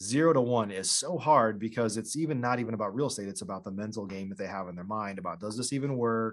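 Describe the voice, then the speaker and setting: The background stays quiet. A man rattles off his words at a very fast pace. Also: medium pitch for a man, ordinary pitch variation, hardly any pauses. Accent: American. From US Midwest, Illinois. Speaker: real estate investor. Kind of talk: casual interview.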